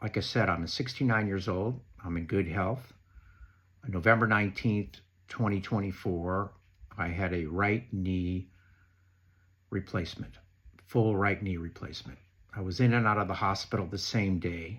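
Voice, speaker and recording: A man with a fairly low pitch talks at a moderate pace with ordinary pitch variation. He takes long, frequent pauses, and the recording is very clean with a silent background. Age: 60s. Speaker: knee replacement patient sharing advice. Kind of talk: prepared talk read from notes.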